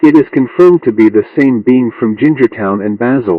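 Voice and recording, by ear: A man at medium pitch speaks at a moderate pace, recorded with a dry, close sound and no echo.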